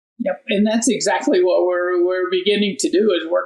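Against noticeable background noise, a man with a Midwestern American accent talks at a moderate pace. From southern Indiana. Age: 70s. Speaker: farmer. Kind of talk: interview.

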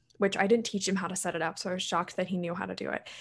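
A woman with a Mid-Atlantic American accent. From US, Maryland. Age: 20s. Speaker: college student and health coach. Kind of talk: interview.

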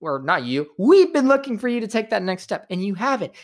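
The speech keeps a moderate pace. The recording is very clean, with a silent background. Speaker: sports commentator. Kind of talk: live sports commentary. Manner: animated, play-by-play; opinionated, casual.

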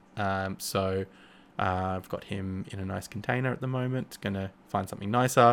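A man with an Australian accent, fairly low pitch, fairly even intonation and a moderate pace. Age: 30s. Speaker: podcast host. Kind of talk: casual chat. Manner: halting.

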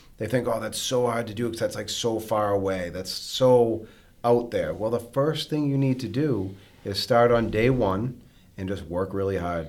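A man with an American accent has an unremarkable speaking voice. He keeps a moderate pace with ordinary pitch variation. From Massachusetts (North Andover). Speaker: mortgage company owner and podcast host. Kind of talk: casual chat.

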